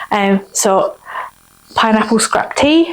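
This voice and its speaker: A woman is heard over noticeable background noise. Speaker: cooking and craft video host. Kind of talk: cooking tutorial.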